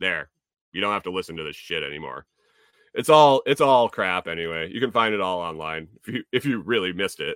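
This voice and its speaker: With lively intonation and a very deep, low pitch, a man speaks at a fairly quick pace in an American accent, the sound dry and close with no echo on a very clean recording with a silent background. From US Northeast (Connecticut). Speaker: podcast host. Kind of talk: casual livestream chat. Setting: home livestream with chat. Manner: casual, many fillers and repetitions.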